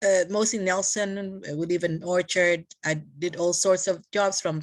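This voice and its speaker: Against a quiet background, the speaker goes at a fairly slow pace with ordinary pitch variation. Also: woman. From Philippines. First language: Tagalog. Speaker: community leader. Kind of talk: casual interview chat. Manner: halting with many fillers and code-switching.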